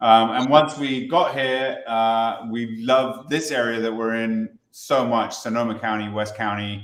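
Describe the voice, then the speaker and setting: At a fairly slow pace, a man of medium pitch speaks with fairly even intonation on a very clean recording with a silent background. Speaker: distillery co-founder. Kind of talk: virtual tasting talk. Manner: hesitant, many fillers.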